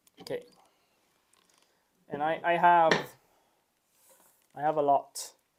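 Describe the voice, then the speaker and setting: Long, frequent pauses break up speech that goes at a fairly slow pace. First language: not English. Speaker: 3D printer builder livestreamer. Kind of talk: live workshop stream, casual chat. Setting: workshop. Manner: halting, with fillers.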